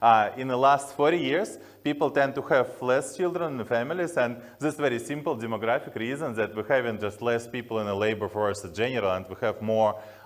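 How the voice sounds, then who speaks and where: Speaking at a fairly quick pace with ordinary pitch variation, a man talks in a strong Slavic accent. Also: medium pitch for a man. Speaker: tech company founder. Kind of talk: conference talk. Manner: halting with many fillers.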